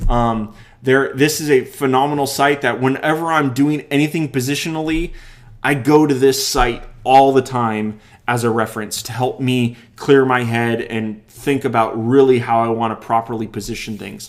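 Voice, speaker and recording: This is an ordinary speaking voice, delivered at a moderate pace with fairly even intonation. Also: man, medium pitch for a man. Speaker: web design screencast host. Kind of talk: live tutorial screencast. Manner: many fillers and restarts.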